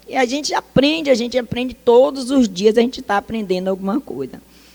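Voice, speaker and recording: Fairly high-pitched female speech with ordinary variation in pitch. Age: 60s. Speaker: social worker. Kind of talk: talk. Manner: animated.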